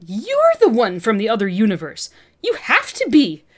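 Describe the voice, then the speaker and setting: A bellowing, female-sounding put-on character voice at a moderate pace. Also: fairly high pitch for a woman. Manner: bellowing, feral excitement.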